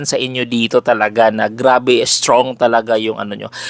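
At a fairly quick pace, a man talks in a medium-pitched voice. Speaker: spiritual healer and oil seller. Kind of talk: promotional vlog monologue. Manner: loud; animated.

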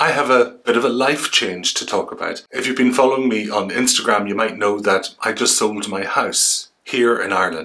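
A man talks at a moderate pace with ordinary pitch variation and hardly any pauses. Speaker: travel vlogger. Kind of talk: casual vlog chat. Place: home room.

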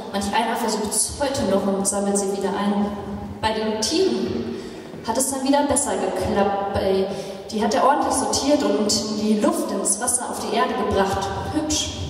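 At a moderate pace, a woman speaks in a fairly high voice with ordinary pitch variation. Strong room echo and light background noise surround her. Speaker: pastor. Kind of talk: poetry slam performance. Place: church.

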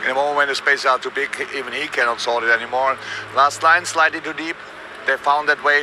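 Over noticeable background noise, a man speaks at a fairly quick pace, the sound dry with no echo. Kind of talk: interview answer. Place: stadium.

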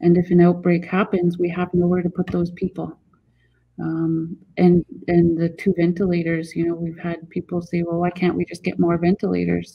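This woman's voice is somewhat breathy and fairly low in pitch. She talks at a moderate pace with monotone, flat intonation. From Haida Gwaii, British Columbia, Canada. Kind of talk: interview. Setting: video call. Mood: serious, earnest. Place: home room. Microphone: video call.

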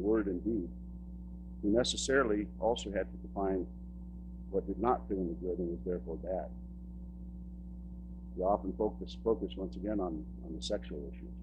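Noticeable background noise sits behind a man with a very deep, low pitch who talks at a fairly quick pace with lively intonation. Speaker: public speaker, son of a church pastor. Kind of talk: public talk / lecture about personal experience. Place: stage.

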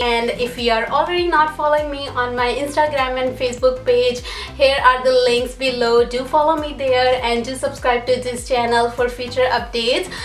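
A woman speaks at a high pitch in a monotone, flat intonation, at a moderate pace with hardly any pauses. Faint music plays in the background, and audible room echo surrounds her. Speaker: vlogger. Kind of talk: casual haul vlog chat. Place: home room. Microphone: camera far.

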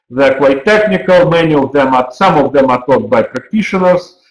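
With lively intonation and a fairly high pitch, a man speaks against a quiet background with audible room echo. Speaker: university program director. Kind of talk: webinar presentation. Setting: online webinar. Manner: halting, with frequent fillers. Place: office. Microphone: webcam.

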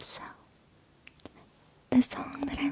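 A woman whispers. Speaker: ASMR creator. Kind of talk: ASMR personal attention. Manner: whispered. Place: home room. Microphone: studio mic.

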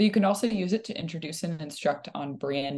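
A woman speaks at a fairly quick pace in a normal speaking voice. Her pitch sits fairly low and her intonation is lively. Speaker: webinar presenter. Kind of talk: tutorial. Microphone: video call.

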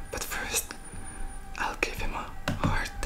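A man whispers at a very slow pace. Faint music plays in the background. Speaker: ASMR creator. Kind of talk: casual vlog chat. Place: home room. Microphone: studio mic.

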